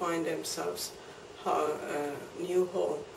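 A woman in a Persian accent at a very slow pace, with audible room echo and light background noise. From Iran. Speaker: immigrant storyteller. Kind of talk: interview answer. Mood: calm, reflective. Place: home room.

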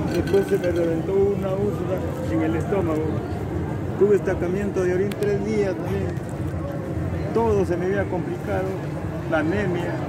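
Against loud background noise, a man speaks at a moderate pace with long, frequent pauses, the sound dry with no echo. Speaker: pilgrim. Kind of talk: interview answer. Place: street. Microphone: phone near.

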